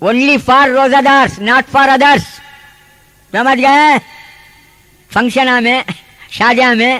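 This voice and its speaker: Against noticeable background noise, a man uses a raised, projected voice at an extremely high pitch, with fairly even intonation and very even loudness. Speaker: Islamic preacher. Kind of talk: religious sermon. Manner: impassioned, exhorting.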